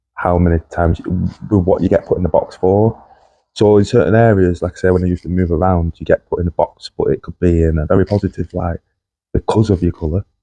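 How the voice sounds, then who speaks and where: A dark, mellow tone rushes along at a very fast pace in a dry, close sound with no echo. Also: man, very deep, low pitch for a man. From northern England, Lancashire. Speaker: podcast host's husband, guest. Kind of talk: casual chat. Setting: podcast recording.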